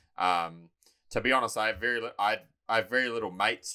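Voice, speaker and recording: In a New Zealand accent, a man speaks at a fairly quick pace with a fairly low pitch. His tone is bright and sharp, with ordinary pitch variation. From New Zealand, Taranaki. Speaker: personal trainer and bodybuilding coach. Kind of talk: casual chat.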